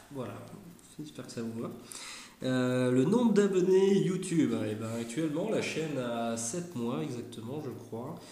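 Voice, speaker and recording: At a fairly slow pace, a man with a medium pitch talks amid noticeable background noise and audible room echo. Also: lively intonation, big swings in loudness. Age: 30s. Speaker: YouTuber, former airsoft shop manager. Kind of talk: casual chat. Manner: hesitant, many fillers.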